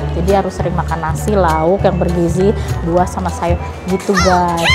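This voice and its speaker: With clear music behind her, a woman speaks fairly quickly. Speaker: mother vlogger. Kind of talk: casual vlog chat. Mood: relieved, upbeat. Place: hall. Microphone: phone near.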